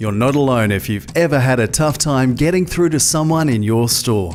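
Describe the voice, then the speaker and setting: Music plays in the background as a man speaks with very wide pitch swings. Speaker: voiceover artist. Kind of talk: corporate training narration. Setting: studio.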